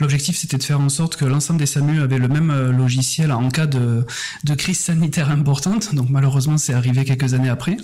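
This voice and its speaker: A man with a Toulouse accent speaks at a very fast pace in a fairly high voice, his intonation fairly even and his loudness very even. Noticeable background noise and audible room echo fill the recording. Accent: Toulouse (southern French). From southern France, Toulouse region. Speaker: head of design, design consultant. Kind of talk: podcast interview.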